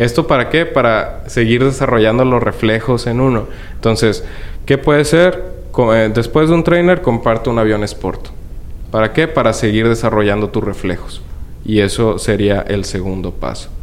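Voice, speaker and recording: A man speaks at a moderate pace with a medium pitch and ordinary pitch variation. The room echo is audible, and there is noticeable background noise. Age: 20s. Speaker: model aircraft hobbyist. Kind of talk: interview.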